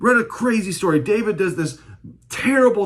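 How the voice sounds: What we hear is a natural reading voice.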